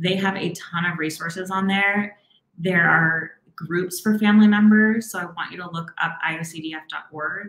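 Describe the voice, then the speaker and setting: A woman's ordinary speaking voice, fairly low in pitch, with fairly even intonation and big swings in loudness. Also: moderate pace. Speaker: therapist. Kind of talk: live Q&A advice. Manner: warm, encouraging.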